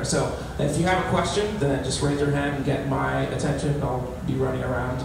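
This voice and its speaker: Speech at a moderate pace carries strong room echo and noticeable background noise. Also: man. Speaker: community organizer and event host. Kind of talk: event hosting and announcements. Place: hall. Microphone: handheld.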